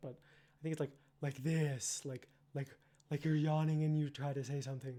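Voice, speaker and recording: Using a put-on character voice, a man speaks breathy and fairly high in a monotone, flat intonation at a moderate pace, broken by long, frequent pauses. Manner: demonstrating a phonation type.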